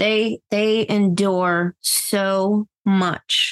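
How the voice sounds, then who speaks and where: A woman with a medium pitch is heard in a dry, close sound with no echo. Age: 50s. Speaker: television industry worker. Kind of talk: casual chat.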